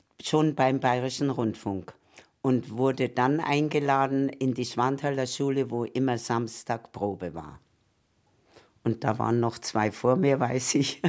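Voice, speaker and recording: Over a silent background on a very clean recording, a woman with a very deep, low voice speaks very slowly with ordinary pitch variation. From Danzig, moved to Munich as a child in 1947. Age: 80s+. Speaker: former children's choir singer. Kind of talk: interview reminiscence. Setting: at her home.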